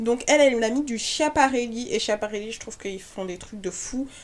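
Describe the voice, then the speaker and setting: A woman with a fairly high pitch speaks at a moderate pace, her tone animated and her intonation lively. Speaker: YouTuber, fashion commentator. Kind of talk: casual vlog commentary.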